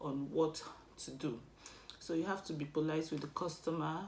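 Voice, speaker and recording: Audible room echo surrounds a woman with a Nigerian accent speaking at a moderate pace in a very deep, low voice. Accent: non-British, Nigerian. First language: Igbo. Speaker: vlogger. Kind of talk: casual advice vlog.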